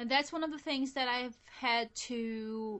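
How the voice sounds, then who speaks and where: Her tone bright and sharp, a woman speaks with ordinary pitch variation. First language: non-English. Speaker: podcast co-host. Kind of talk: casual chat.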